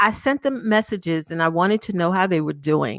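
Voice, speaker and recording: Loud and animated, a woman speaks at a moderate pace. The sound is dry and close with no echo, and the recording is very clean with a silent background. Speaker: talk show host and brand coach. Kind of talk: live show interview. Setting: live video stream.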